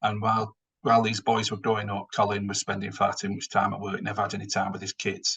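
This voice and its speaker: Speaking at a very fast pace in a strong northern English accent, a man keeps a fairly low pitch and a monotone, flat intonation. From northern England. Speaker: finance executive. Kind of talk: webinar presentation. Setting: online webinar.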